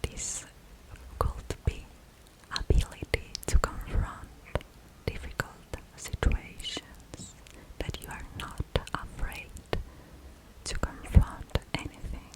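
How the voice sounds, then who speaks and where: Whispering at a very slow pace, a woman leaves long, frequent pauses, with big swings in loudness and noticeable background noise. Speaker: ASMR creator. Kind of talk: explaining a psychological drawing test. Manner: slow, hesitant, with pauses and fillers.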